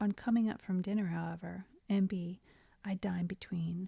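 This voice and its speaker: A woman is whispering, somewhat breathy, in a dry, close sound with no echo. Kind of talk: audiobook reading. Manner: whispered.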